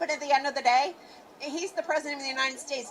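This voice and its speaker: Over noticeable background noise, a woman with an American accent talks in an animated tone at a high pitch. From western Pennsylvania. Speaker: rally attendee. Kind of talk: street interview.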